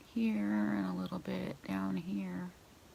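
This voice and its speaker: A woman speaks quietly. Her pitch is very deep and low. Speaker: beauty vlogger. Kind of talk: makeup tutorial. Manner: casual.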